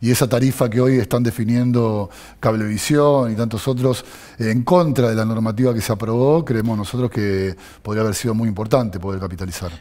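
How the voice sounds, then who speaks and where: A man speaks fairly quickly with a Rioplatense accent and a dark, mellow tone. The background is quiet. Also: ordinary pitch variation. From Argentina, Buenos Aires. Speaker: city legislator; interview guest. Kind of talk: political interview. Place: studio. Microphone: headset.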